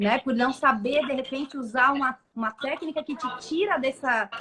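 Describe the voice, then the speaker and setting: A raised, projected voice at a moderate pace, with lively intonation and noticeable background noise. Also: woman. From Brazil. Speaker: live show host, coach. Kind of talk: live interview. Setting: online live stream.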